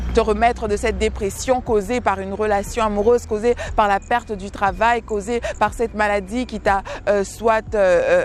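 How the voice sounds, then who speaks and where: Background noise is noticeable behind a woman. Her pitch is fairly high and her pace moderate. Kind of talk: devotional teaching. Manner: halting with many repetitions.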